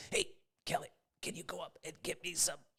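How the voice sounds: A raspy, put-on character voice at a fairly quick pace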